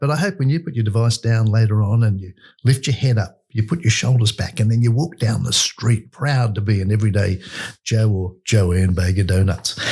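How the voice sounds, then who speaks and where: A man with an Australian accent, fairly low pitch, dark, mellow tone, somewhat breathy, ordinary pitch variation and a fairly quick pace. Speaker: podcast host. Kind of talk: interview chat. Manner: animated.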